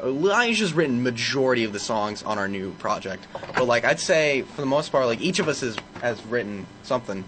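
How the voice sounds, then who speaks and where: Noticeable background noise sits under a man speaking at a fairly quick pace with lively intonation. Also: medium pitch for a man. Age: 20s. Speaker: band vocalist. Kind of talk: casual interview chat. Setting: radio studio.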